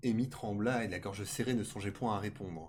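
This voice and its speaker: A man speaks in a somewhat breathy voice. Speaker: streamer reading tales aloud. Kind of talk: reading aloud. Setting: live stream. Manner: stuttering.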